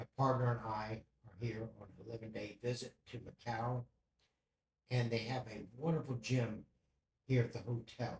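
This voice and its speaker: In an American accent, a man talks with a monotone, flat intonation at a medium pitch, his voice somewhat breathy. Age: 70s. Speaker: retired travel vlogger. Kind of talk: unscripted vlog narration. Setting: hotel gym. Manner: casual, with fillers.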